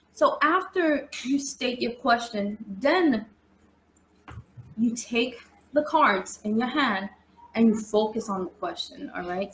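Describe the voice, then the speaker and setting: A woman with a New York accent, high in pitch. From New York City. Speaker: tarot reader. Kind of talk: live-stream tutorial. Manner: casual, chatty.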